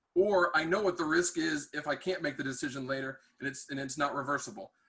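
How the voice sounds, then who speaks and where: A loud man's voice with a bright, sharp tone. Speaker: tech industry manager and mentor. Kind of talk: webinar talk. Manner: hesitant with many fillers.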